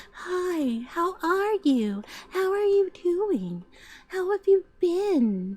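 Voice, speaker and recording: A put-on character voice, female-sounding, extremely high-pitched, breathy and soft-spoken, at a very slow pace. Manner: soft-spoken, affected.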